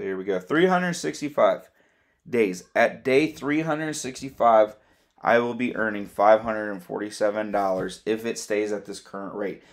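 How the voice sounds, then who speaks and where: An ordinary speaking voice moves at a moderate pace with lively intonation and big swings in loudness, captured in a very clean recording against a silent background. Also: man, medium pitch for a man. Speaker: crypto YouTuber. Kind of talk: casual explainer video.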